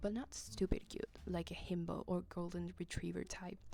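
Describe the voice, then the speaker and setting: Quiet and breathy, a woman speaks with music in the background. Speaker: video essay host. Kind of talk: casual video essay narration.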